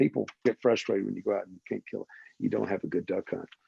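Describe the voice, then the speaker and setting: A man speaks with a Southern US accent, recorded dry and close with no echo against a quiet background. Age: 60s. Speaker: waterfowl conservationist. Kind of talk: podcast interview.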